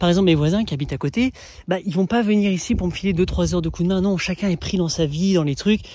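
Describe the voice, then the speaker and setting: This man's pitch is high, with ordinary variation. He speaks at a very fast pace. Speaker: permaculture gardener and video creator. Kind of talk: casual garden vlog talk. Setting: outdoors in garden. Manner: animated.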